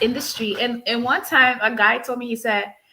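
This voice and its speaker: A woman with a Liberian accent, fairly high in pitch, her tone bright and sharp. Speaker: insurance agency owner. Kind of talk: interview. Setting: live stream.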